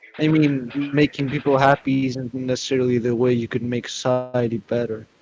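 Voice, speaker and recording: Over noticeable background noise, a man speaks in a flat monotone at a medium pitch and a fairly quick pace. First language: not English. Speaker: debate opponent. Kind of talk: heated debate.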